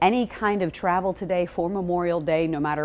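A woman with a plain, everyday voice speaks at a moderate pace in a fairly low pitch, her pitch varying in an ordinary way. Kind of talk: weather forecast presentation. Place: studio. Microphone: lapel.

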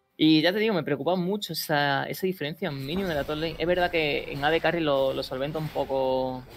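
Noticeable background noise sits behind a woman with a very deep, low pitch. She keeps a moderate pace and ordinary pitch variation. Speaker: esports caster, analyst. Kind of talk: live esports commentary, analytical color. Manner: measured, conversational.

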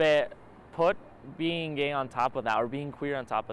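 A man's voice comes through with a dry sound, no echo, and light background noise. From Utah, US (immigrated from Argentina at seven). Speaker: documentary interviewee, student filmmaker; interviewee. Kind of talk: personal testimony. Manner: halting, with repetitions. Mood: reflective, earnest. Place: garden.

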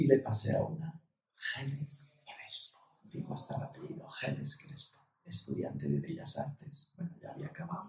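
A man's voice with vocal fry, fairly high pitch and fairly even intonation, at a moderate pace amid audible room echo. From Ibiza, Spain. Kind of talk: casual interview chat. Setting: recording in a university residence. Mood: cheerful, animated. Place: meeting room.

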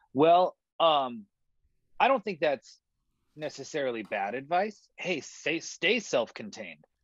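The speaker goes at a fairly slow pace with long, frequent pauses and very wide pitch swings. The background is quiet and the sound is dry with no echo. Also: man, fairly high pitch for a man. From California. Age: 20s. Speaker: songwriter and music producer; guest. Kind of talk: conversational interview. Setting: video call from his studio. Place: studio. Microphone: video call.

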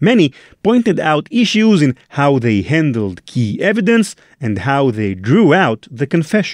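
Recorded very cleanly with a silent background, a man's fairly high voice swings very widely in pitch, the sound dry and close with no echo. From Israel. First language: Hebrew. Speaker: podcast host. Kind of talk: scripted narration.

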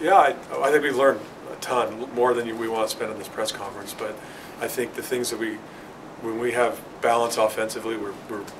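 A man speaks fairly quickly while noticeable background noise runs behind him. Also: ordinary pitch variation, big swings in loudness. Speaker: volleyball head coach. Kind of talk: interview answer. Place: meeting room. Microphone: phone near.

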